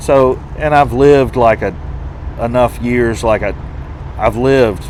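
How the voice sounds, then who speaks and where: A man with a Southern US accent at a medium pitch, very slow pace and long, frequent pauses, over noticeable background noise. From Tennessee, Nashville. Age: 40s. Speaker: truck driver. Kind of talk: interview. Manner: halting.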